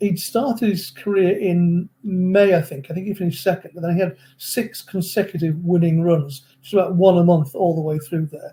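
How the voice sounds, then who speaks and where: In an English accent, a man speaks at a moderate pace with a high pitch and a dark, mellow tone. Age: 70s. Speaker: horse racing analyst. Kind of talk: interview. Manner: halting.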